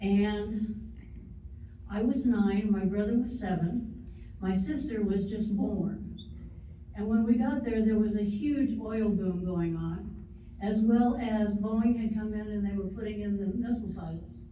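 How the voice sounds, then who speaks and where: A fairly high-pitched woman's voice at a fairly slow pace, with audible room echo and noticeable background noise. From US Great Plains, western Nebraska. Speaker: woman telling her life story. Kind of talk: life story talk. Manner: loud.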